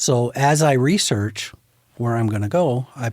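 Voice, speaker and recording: A plain, everyday voice with an American accent, ordinary pitch variation, and a very clean recording over a silent background. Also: man. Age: 60s. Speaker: photographer. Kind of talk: casual chat.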